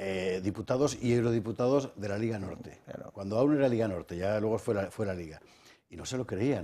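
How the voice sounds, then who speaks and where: A man's fairly low, dark, mellow voice at a fairly quick pace, with ordinary pitch variation. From Spain. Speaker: TV talk show host. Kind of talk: political talk show debate; talk show commentary and presenting. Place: studio. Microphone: headset.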